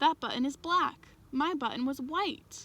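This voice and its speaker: A woman does a put-on character voice at a high pitch. She keeps a moderate pace. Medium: read story.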